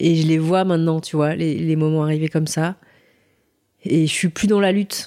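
A woman's very deep, low voice, dark and mellow, monotone and flat, at a moderate pace with very even loudness and long, frequent pauses. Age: 40s. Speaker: adoptee sharing her story. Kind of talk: testimony. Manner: halting.

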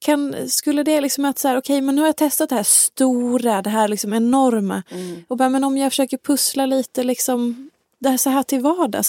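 A woman's high, dark, mellow voice at a fairly quick pace, with fairly even intonation and a dry, close sound free of echo. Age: 20s. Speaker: podcast host. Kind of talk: casual chat. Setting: studio.

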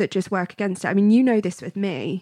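In a British accent, a woman of medium pitch talks with ordinary pitch variation, the dry, close sound having no echo and the very clean recording a silent background. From grew up abroad as British expat. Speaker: podcast co-host. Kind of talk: casual chat.

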